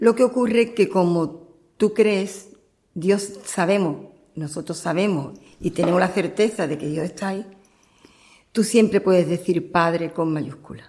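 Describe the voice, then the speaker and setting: Her tone is dark and mellow, with ordinary pitch variation. This woman speaks at a fairly slow pace. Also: medium pitch for a woman. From Andalusia, Cádiz province. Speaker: churchgoer giving testimony. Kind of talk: testimony interview.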